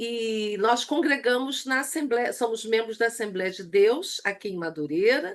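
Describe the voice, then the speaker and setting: Speaking at a fairly slow pace with hardly any pauses, a woman uses lively intonation and a fairly high pitch. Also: big swings in loudness. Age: 60s. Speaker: church women's leadership teacher. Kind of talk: online lecture.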